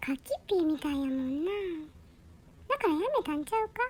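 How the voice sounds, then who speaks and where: Someone uses a put-on character voice at a high pitch and a fairly quick pace. Clear background noise runs underneath. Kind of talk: comic pet dialogue.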